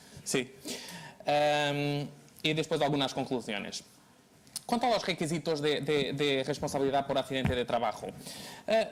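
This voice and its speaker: A man with a fairly high pitch and ordinary pitch variation speaks at a moderate pace, with very even loudness and long, frequent pauses. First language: Portuguese (speaking Spanish). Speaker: law lecturer. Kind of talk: lecture. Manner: halting.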